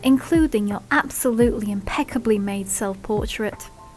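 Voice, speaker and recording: Over music in the background, a woman speaks at a fairly high pitch with ordinary pitch variation. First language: not English. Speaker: fanfiction reader. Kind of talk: reading aloud. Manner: slurred speech; halting.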